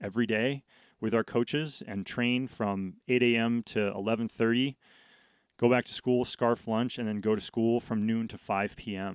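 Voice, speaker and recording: On a very clean recording with a silent background and a dry, close sound with no echo, a man with an American accent speaks at medium pitch and a moderate pace with fairly even intonation. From New England (Connecticut, Vermont). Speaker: professional snowboarder. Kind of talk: casual interview. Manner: halting, with frequent repetitions.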